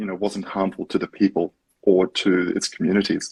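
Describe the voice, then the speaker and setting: Recorded with a dry, close sound and no echo, a man talks at a moderate pace in a fairly low voice. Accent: Australian. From Australia. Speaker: startup co-founder. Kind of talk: interview.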